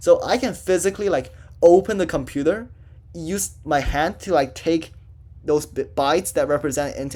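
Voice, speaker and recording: Using an unremarkable speaking voice, this man varies his pitch in an ordinary way and keeps a moderate pace. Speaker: student tutor teaching programming. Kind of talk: lecture. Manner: casual, filler-heavy.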